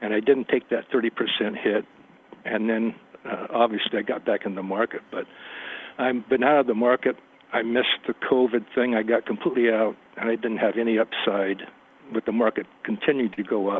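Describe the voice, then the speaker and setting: Against noticeable background noise, a man talks in a monotone, flat delivery. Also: medium pitch for a man. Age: 70s. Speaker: caller, retiree. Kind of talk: phone-in question. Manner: halting; calm.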